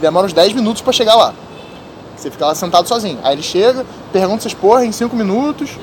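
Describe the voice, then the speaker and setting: With noticeable background noise, a man at a high pitch rattles along at a very fast pace with lively intonation. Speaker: podcast host. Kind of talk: casual chat.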